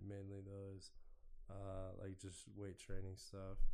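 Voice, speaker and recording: With an American accent, a man uses a plain, everyday voice at a fairly slow pace and with ordinary pitch variation. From Oregon, US. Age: 30s. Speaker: business owner. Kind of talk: casual chat.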